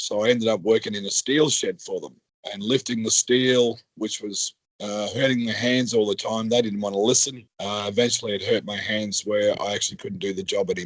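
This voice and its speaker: A man talks at a fairly quick pace with an Australian accent. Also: medium pitch for a man, fairly even intonation. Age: 60s. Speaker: worker returned to work after injury. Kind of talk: podcast interview.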